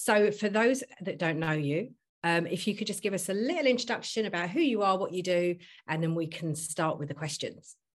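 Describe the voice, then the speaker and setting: A woman with an ordinary speaking voice talks at a fairly quick pace in a medium pitch against a quiet background. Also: lively intonation. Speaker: podcast host.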